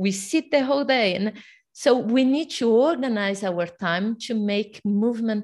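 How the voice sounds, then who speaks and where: A woman's fairly high voice with a Portuguese accent, ordinary pitch variation and a quiet background. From Brazil. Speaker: fitness coach. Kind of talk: interview. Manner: animated.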